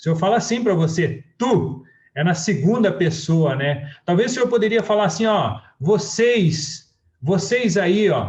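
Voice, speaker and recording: A man speaks at a high pitch in a southern Brazilian accent, at a fairly slow pace. His intonation is lively and his loudness very even. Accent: gaúcho Brazilian Portuguese. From southern Brazil (Rio Grande do Sul). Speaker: church preacher. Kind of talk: sermon.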